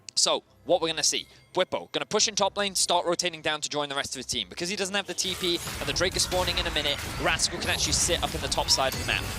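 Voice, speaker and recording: Music plays behind a man speaking at a very fast pace. His pitch is high. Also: dry, close sound with no echo. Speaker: esports commentator. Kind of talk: live commentary. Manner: animated.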